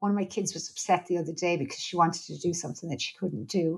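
A woman with an Irish accent talks at a fairly quick pace and medium pitch, somewhat breathy, with ordinary pitch variation. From Ireland. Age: 40s. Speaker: psychologist and researcher. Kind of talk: interview conversation.

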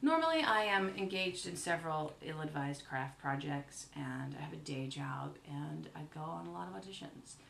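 In an American accent, a woman speaks at a moderate pace with hardly any pauses. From US South, Mount Airy, North Carolina. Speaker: comedian and actress. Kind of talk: casual interview chat. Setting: home kitchen.

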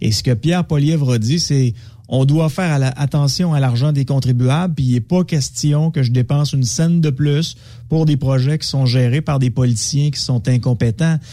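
A man with a dark, mellow tone sounds somewhat breathy, keeping very even loudness and ordinary pitch variation. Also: fairly high pitch for a man, moderate pace. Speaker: media commentator. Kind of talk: casual radio chat.

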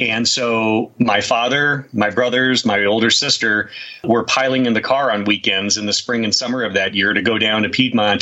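A man's fairly even delivery at a moderate speed comes with noticeable noise in the background. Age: 50s. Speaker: UFO researcher and author. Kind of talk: interview. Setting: remote call.

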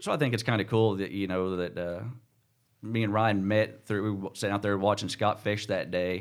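A man with an American accent uses an ordinary speaking voice, fairly low in pitch, at a moderate pace with fairly even intonation. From Missouri, US. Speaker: tournament bass angler. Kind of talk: casual interview. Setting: studio.

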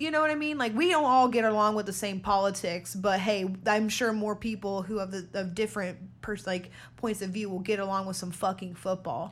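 A woman with an unremarkable speaking voice at a medium pitch. She talks at a fairly quick pace with ordinary pitch variation. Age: 20s. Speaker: podcast co-host. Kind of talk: casual chat.

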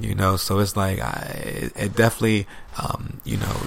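A man with a fairly low pitch speaking at a moderate pace amid noticeable background noise. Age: 30s. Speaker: spiritual podcast guest. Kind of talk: casual chat. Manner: animated.

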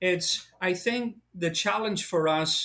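In an American accent, the speaker uses ordinary pitch variation on a very clean recording with a silent background. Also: man. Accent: Irish-tinged American. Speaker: preacher. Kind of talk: Bible study conversation.

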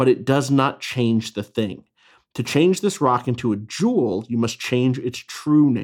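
This is plain reading aloud with lively intonation. The background is quiet.

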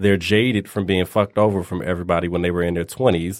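This man talks with fairly even intonation. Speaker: podcast host. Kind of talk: casual chat, raunchy banter.

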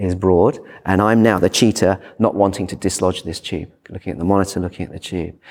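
With a British accent, a man talks at a fairly quick clip in a very deep, low voice, his intonation flat and monotone, on a very clean recording with a silent background. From Britain. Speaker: emergency physician. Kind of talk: conference talk. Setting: stage with audience.

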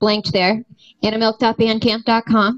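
A woman speaks in a normal speaking voice at fairly high pitch. Her moderate pace comes through in a dry, close sound with no echo. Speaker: musician. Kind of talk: casual chat.

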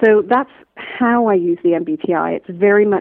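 Speaking at a fairly slow pace with a Canadian accent, a woman has an ordinary speaking voice and ordinary pitch variation. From Canada, Toronto. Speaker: strategy consultant and coach. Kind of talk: interview conversation.

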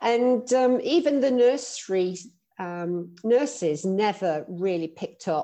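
With a London accent, a woman talks in a dark, mellow tone and lively intonation. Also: quiet background. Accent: British English, London. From London, England. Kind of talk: casual interview chat.

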